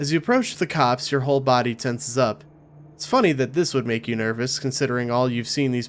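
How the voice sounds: Pitch shifts in an ordinary way as the text is read in a natural voice.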